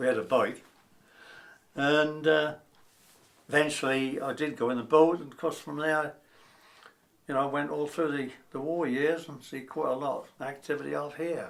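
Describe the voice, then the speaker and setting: In a Norfolk accent, a man with a fairly high pitch speaks at a moderate pace, his intonation fairly even, his loudness swinging widely and his pauses long and frequent. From Norfolk, England (Wells). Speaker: retired lifeboat coxswain. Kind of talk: oral history interview.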